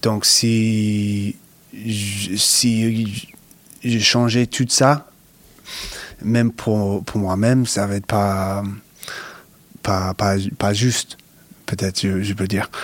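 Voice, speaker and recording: Speaking very slowly with long, frequent pauses, a man with an American accent keeps a fairly low voice in a flat monotone. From US Northeast, Connecticut. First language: English (speaking French). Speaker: professional basketball player. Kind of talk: interview. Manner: halting, many repetitions and hesitations.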